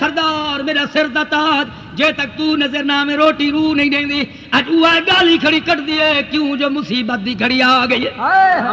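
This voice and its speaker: Noticeable background noise surrounds a raised, projected voice. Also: man. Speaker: Islamic preacher. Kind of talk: religious sermon delivered to an audience. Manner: emotional, dramatic storytelling.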